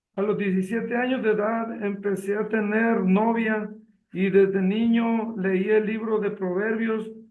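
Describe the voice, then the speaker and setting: Audible room echo surrounds a man with a high voice. He speaks at a fairly slow pace with monotone, flat intonation. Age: 60s. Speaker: retired accountant. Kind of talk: testimony reading aloud.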